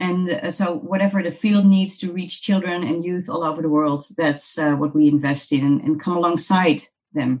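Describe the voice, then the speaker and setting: A woman's fairly low voice with a Dutch accent, at a moderate pace with ordinary pitch variation. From Netherlands. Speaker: missions organization director. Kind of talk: interview.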